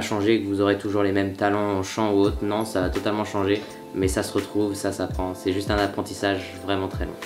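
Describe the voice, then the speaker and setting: A man speaks at a fairly low pitch, and the room's echo can be clearly heard. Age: 20s. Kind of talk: Q&A interview.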